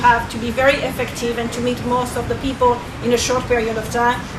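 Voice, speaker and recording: A woman speaks in a high voice with a French accent, at a fairly quick pace and with monotone, flat intonation. Audible room echo and noticeable background noise are present. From France. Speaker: networking coach. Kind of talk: event talk. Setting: restaurant event with audience.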